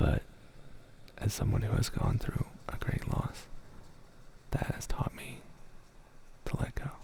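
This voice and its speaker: The speaker whispers amid noticeable background noise. Long pauses come often. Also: man, fairly slow pace. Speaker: ASMR creator. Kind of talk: casual talk to stream chat. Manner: soft-spoken.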